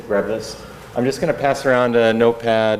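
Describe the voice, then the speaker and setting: In a room with audible echo and noticeable background noise, a man with an American accent talks at a fairly quick pace. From US Midwest, Kansas City. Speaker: rabbi. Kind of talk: lecture. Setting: classroom with audience and microphone. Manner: loud; conversational, many filler words.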